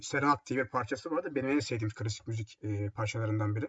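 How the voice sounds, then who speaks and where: A man's somewhat breathy voice comes out at a fairly quick pace. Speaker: radio host. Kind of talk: music radio show presenting. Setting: home. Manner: casual, halting with fillers. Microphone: laptop built-in mic, echoey.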